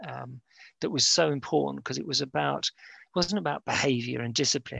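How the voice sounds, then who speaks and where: A man with a London accent has a medium-pitched voice and a bright, sharp tone, recorded with a dry, close sound and no echo. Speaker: university lecturer. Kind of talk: casual interview. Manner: hesitant, many fillers.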